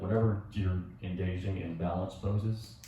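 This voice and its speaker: Soft-spoken, a man talks at a moderate pace with a very deep, low pitch. Audible room echo and noticeable background noise are present. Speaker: yoga instructor. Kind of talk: tutorial. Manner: halting.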